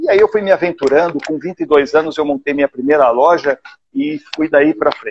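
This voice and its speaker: A man's ordinary speaking voice, fairly high in pitch, with fairly even intonation and a dry, close sound with no echo. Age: 60s. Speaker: live show host, businessman. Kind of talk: casual interview. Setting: online live stream.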